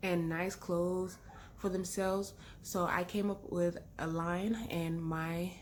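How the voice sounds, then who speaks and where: A woman with an American accent sounds somewhat breathy at a fairly slow pace. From London, then Texas from age 12. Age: 30s. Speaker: vlogger. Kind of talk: casual chat. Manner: animated.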